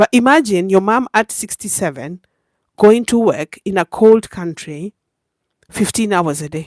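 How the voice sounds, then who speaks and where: A woman at a medium pitch talks at a fairly slow pace, with an animated tone and lively intonation. The recording is very clean, with a silent background. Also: dry, close sound with no echo. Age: 50s. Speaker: YouTube livestreamer. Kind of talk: casual livestream monologue.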